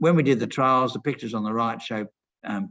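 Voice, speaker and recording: A man speaks with an Australian accent. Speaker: pest control scientist presenting at a webinar. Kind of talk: webinar presentation. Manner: fast.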